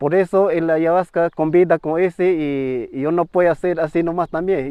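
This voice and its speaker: With a Peruvian Amazonian accent, a man talks at a moderate pace in a high voice, using fairly even intonation. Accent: Peruvian Amazonian Spanish, non-native. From Peru, Ucayali River, Shipibo-Conibo community. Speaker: traditional healer, ayahuasca curandero. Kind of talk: interview answer.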